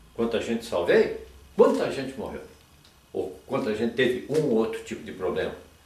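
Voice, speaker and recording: Big swings in loudness mark this man's speech at a moderate pace. Audible room echo and noticeable background noise surround him. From southern Brazil, Rio Grande do Sul. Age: 70s. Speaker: retired doctor. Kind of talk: oral history interview. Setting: at home. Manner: halting, with many repetitions.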